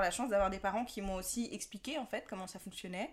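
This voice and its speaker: The clip features a normal speaking voice whose pitch varies in an ordinary way. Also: woman. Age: 30s. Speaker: podcast guest. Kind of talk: casual chat.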